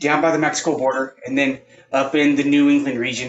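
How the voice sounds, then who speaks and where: A man talks with a fairly high pitch. His pitch variation is ordinary. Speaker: martial arts instructor. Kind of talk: tutorial. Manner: loud. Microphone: too quiet at first.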